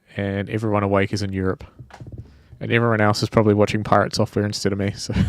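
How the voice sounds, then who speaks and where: Over noticeable background noise, a man with a New Zealand accent talks at a very fast pace in a fairly low, monotone voice with flat intonation. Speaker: indie game developer streamer. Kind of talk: casual live stream chat. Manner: casual, rambling with fillers.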